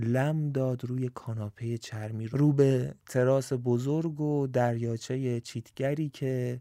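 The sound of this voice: This recording carries an unforced reading voice.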